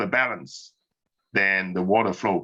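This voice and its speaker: Against a quiet background, a man talks in a plain, everyday voice at a fairly slow pace with ordinary pitch variation. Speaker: physics professor. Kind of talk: lecture. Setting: online class.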